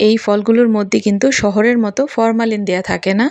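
Against a quiet background, the audio comes across close and dry, without any echo. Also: woman. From Bangladesh, Dhaka. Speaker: vlogger. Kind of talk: vlog narration.

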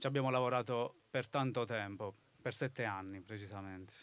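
A man's unremarkable speaking voice at medium pitch and a fairly quick pace, with a dry sound and no echo. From Basilicata, southern Italy (Tricarico); Basilicata, Italy. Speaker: author; interviewee. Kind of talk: live talk interview. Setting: festival stage with audience. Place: open country. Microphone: handheld.

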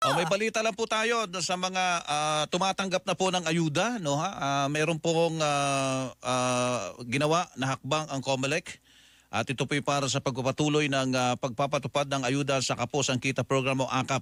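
A man speaks in an ordinary speaking voice, fairly high in pitch, at a moderate pace with very even loudness and hardly any pauses. The recording is very clean with a silent background and a dry, close sound with no echo. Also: ordinary pitch variation. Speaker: radio host. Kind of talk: broadcast interview.

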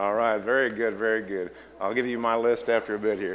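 A man talking at a fairly quick pace over light background noise. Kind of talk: church announcements. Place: church. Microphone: headset.

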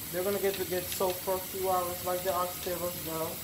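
A woman speaks at a fairly quick pace in a fairly low voice with little pitch movement. Background noise is clearly audible.

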